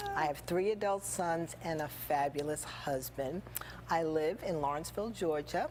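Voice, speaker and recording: A woman's very deep, low voice at very even loudness, with noticeable background noise. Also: ordinary pitch variation, moderate pace. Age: 60s. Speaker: small business owner. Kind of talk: interview.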